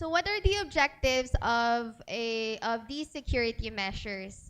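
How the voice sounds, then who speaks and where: In an ordinary speaking voice, a woman talks at a moderate pace, fairly high in pitch and lively in intonation. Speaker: data privacy speaker. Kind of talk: seminar talk.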